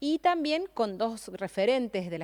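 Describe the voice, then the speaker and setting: A woman is speaking here. Her intonation is lively. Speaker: gerontology specialist and government advisor. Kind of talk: radio interview. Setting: radio auditorium studio. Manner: hesitant, many fillers.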